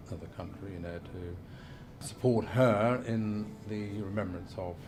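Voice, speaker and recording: A man with an East Midlands accent speaks at a fairly low pitch with fairly even intonation. Noticeable background noise and audible room echo are present. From Lincolnshire, England. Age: 60s. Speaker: representative of the Queen (deputy lieutenant). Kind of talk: documentary interview. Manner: hesitant, filler-heavy.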